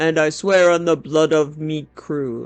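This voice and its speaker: Fairly slow delivery in a man's put-on character voice with a fairly high pitch. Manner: swearing vengeance, dramatic.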